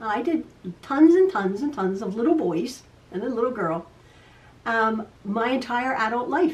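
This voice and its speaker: Speaking at a fairly slow pace, a woman lets her pitch swing very widely. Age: 60s. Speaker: quilting video host. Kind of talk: casual chat. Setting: home sewing room. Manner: stutters sometimes; chatty, repetitive.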